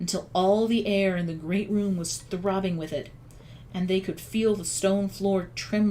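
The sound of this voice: The recording has an unforced reading voice. Its intonation is fairly even.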